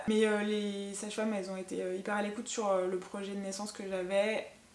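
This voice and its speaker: Audible room echo and noticeable background noise around a woman's medium-pitched voice. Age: 30s. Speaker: mother sharing postpartum experience. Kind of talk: personal testimony. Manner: hesitant, many fillers.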